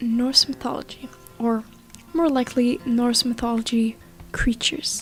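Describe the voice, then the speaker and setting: Over music in the background, a woman with a non-native accent speaks at a moderate pace in a high voice with fairly even intonation. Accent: non-native, some mispronounced words. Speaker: scary story narrator. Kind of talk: folklore narration to camera.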